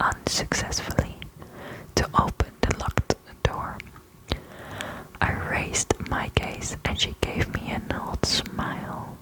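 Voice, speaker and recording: A woman whispering at a very slow pace, with long, frequent pauses and noticeable background noise. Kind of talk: horror story narration, first person. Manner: whispered, soft-spoken.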